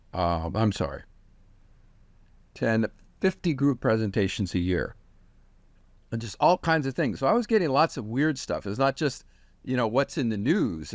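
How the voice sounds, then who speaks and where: Vocal fry and very wide pitch swings mark a man's moderate-paced speech with long, frequent pauses, in a very clean recording with a silent background. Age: 60s. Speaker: technology expert and former professor. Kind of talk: interview.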